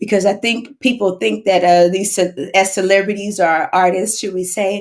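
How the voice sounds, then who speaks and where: Someone with a Texas accent speaks in an animated tone at a moderate pace. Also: woman. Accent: Southern US, Texas. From US South, Houston, Texas. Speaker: singer. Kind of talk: casual chat. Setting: social media livestream.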